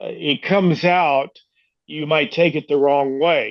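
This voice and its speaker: In an American accent, a man speaks at a fairly slow pace. His fairly high voice keeps a fairly even intonation. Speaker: former baseball manager and coach. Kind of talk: casual interview chat. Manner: halting, many fillers.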